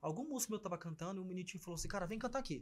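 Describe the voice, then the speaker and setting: A high-pitched man's voice with lively intonation. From Brazil, Porto Velho (Rondônia). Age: 30s. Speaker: singer. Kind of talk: casual interview chat. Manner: animated.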